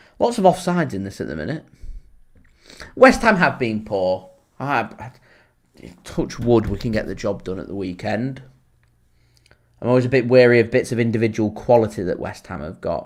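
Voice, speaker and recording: Speaking at a moderate pace with a Lancashire accent, a man with a medium pitch uses lively intonation, big swings in loudness and long, frequent pauses, captured on a very clean recording with a silent background. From Lancashire, northern England. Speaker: football fan channel host. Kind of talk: live match watchalong commentary. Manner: casual, chatty.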